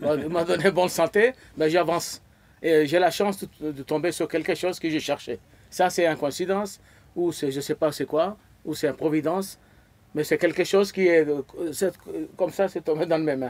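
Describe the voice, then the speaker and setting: Pausing long and often, a man talks at a moderate pace in a high voice with fairly even intonation. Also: very clean recording, silent background. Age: 70s. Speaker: e-commerce program member. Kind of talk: interview testimony. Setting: event venue in Marrakech. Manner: halting.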